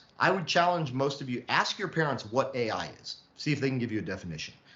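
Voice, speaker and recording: A man's fairly high voice with lively intonation, plus audible room echo. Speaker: lecturer on artificial intelligence. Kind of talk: lecture. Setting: online session. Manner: fast.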